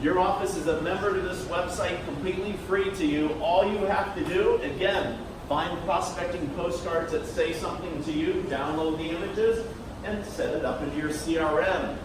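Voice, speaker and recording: Over noticeable background noise and audible room echo, a man with an American accent talks at a moderate pace in a high pitch with fairly even intonation. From Oklahoma. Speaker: marketing presenter. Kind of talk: presentation.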